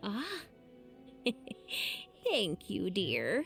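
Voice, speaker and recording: Put-on character voice with clear music in the background. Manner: fake, put-on, gentle.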